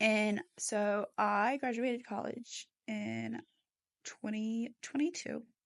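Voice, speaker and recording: Speaking with an American accent and an animated tone, a woman with a fairly high pitch is heard in a dry, close sound with no echo. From US South, Atlanta, Georgia. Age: 20s. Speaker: podcast host. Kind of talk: casual chat. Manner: chatty, animated.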